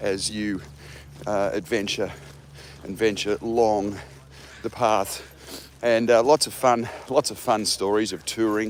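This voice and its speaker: The speaker is a man with an Australian accent. His voice sits at a medium pitch. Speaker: jazz musician. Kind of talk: casual chat. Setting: outdoors. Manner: halting.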